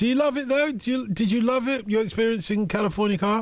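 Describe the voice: Talking at a fast pace, a man uses an extremely high pitch with ordinary pitch variation.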